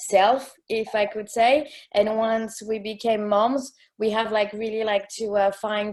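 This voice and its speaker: A woman's fairly high-pitched voice in a French accent, monotone and flat, at a fairly slow pace. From France. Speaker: expat coach. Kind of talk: casual chat. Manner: halting.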